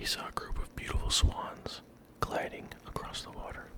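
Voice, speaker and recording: A whisper over noticeable background noise. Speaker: ASMR creator. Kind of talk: bedtime story reading. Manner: soft-spoken, slow.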